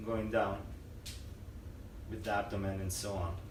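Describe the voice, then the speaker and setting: A man talks in a calm tone. Noticeable background noise sits behind him. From Israel. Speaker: yoga teacher. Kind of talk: yoga instruction. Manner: calm, slow.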